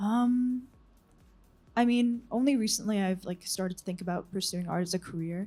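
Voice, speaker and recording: A woman's voice with ordinary pitch variation, set over music in the background. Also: medium pitch for a woman, moderate pace. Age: 20s. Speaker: visual artist. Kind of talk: interview. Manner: halting, many ums.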